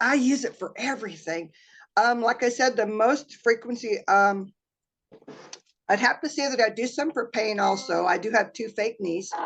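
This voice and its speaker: At a moderate pace, a woman speaks with a fairly high pitch and ordinary pitch variation. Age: 60s. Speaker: customer giving a testimonial. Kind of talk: testimony. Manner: halting.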